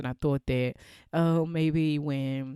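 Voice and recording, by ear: A woman's low-pitched voice, clear and smooth in tone and slightly mellow.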